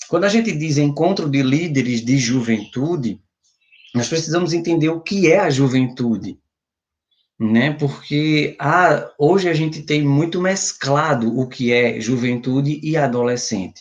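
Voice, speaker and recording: A normal speaking voice at a fairly slow pace, with ordinary pitch variation and very even loudness. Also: man, fairly high pitch for a man. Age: 30s. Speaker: youth ministry speaker. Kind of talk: lecture.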